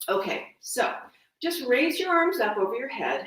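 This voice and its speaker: The woman's pitch swings very widely, and room echo is audible around her. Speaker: wellness teacher. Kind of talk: guided exercise class.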